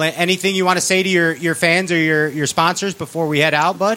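Speaking in an animated tone with a Chicago accent, a man uses a high pitch over noticeable background noise. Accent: Chicago American. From Chicago, US. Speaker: podcast host. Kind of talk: casual banter, interview. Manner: animated, jokey.

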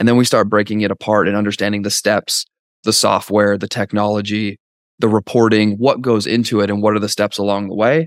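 A man with a Canadian accent speaks at a fairly quick pace in a fairly low pitch with monotone, flat intonation. The recording is very clean with a silent background, and the sound is dry and close with no echo. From Canada. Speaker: outsourcing company partner. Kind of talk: interview. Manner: halting, many repetitions and fillers.

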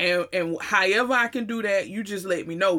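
Here a woman talks with a Southern US accent at a medium pitch. Her tone is animated. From US South. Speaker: podcast host. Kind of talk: solo monologue.

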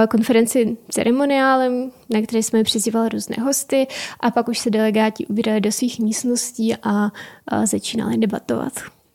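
A woman's fairly high, monotone voice with flat intonation and a slight Ukrainian accent. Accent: slight Ukrainian accent in Czech. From Ukraine. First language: Ukrainian (speaking Czech). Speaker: intern in business consulting. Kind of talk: interview.

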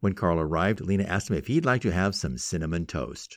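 A man talks at a very fast pace with vocal fry. The recording is very clean, with a silent background. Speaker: radio host. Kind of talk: storytelling narration; radio talk show monologue.

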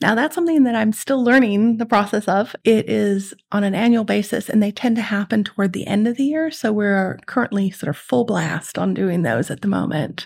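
With an American accent and an unremarkable speaking voice, a woman talks at a fairly quick pace in a medium pitch with lively intonation, in a very clean recording with a silent background. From Netherlands, French schools; later California. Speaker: economist. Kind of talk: interview.

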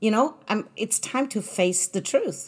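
In a very clean recording with a silent background, a woman speaks at a fairly slow pace with a somewhat breathy voice. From Germany. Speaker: podcast host. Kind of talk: solo monologue.

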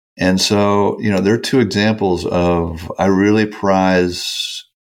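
With an American accent, a man speaks at a very slow pace with fairly even intonation. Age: 60s. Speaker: mentoring organization founder, former Wall Street veteran. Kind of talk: interview answers.

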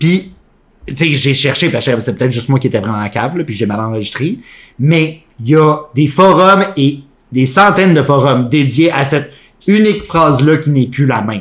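An animated, somewhat breathy voice speaks with a Quebec accent at a moderate pace. The intonation is lively. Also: man. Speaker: podcast co-host. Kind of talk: casual chat.

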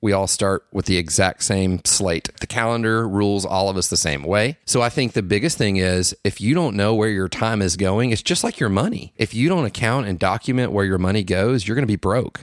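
An unremarkable speaking voice from a man, fairly low in pitch with ordinary variation, at a fairly quick pace with hardly any pauses and very even loudness, in a very clean, dry, close recording with no echo and a silent background. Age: 30s. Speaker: marketing director and business owner. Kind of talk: casual chat.

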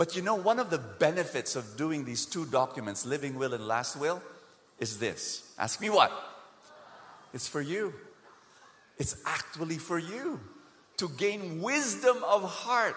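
Speaking at a fairly slow pace with long, frequent pauses, a man uses a fairly high pitch and very wide pitch swings while noticeable background noise is heard. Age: 50s. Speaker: preacher. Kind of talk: sermon. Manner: animated.

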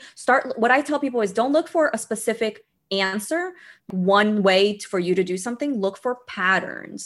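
Speaking at a moderate pace with an American accent, a woman with a fairly high pitch uses lively intonation in an unremarkable speaking voice. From Brazil, raised in the US from age eight. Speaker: employment attorney and money coach. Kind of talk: interview conversation.

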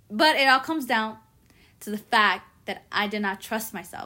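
Speaking with a Spanish accent, a woman uses a fairly high pitch and a bright, sharp tone. The recording is very clean, with a silent background. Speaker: podcast host. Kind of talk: personal monologue.

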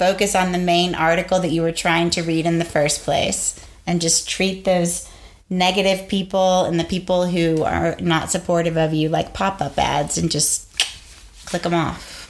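A woman speaks at a moderate pace in a fairly low pitch. Her intonation is monotone and flat, and her loudness stays very even. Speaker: podcast co-host, teacher. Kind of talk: casual chat.

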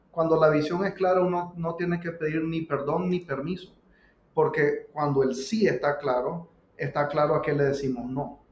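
Speaking with a Nicaraguan accent, a man keeps his intonation fairly even. His pitch is fairly high. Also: moderate pace. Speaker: pizzeria co-owner and business coach. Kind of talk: casual interview conversation.

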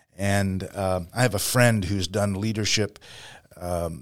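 This man has a normal speaking voice, fairly low in pitch, talking at a fairly slow pace on a very clean recording with a silent background. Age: 60s. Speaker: pastor and missionary leader. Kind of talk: casual interview.

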